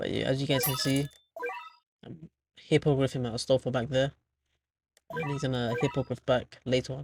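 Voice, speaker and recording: Over music in the background, a soft-spoken voice moves at a fairly quick pace but leaves long, frequent pauses. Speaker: gaming youtuber. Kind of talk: gameplay commentary. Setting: at home. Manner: quiet, soft-spoken.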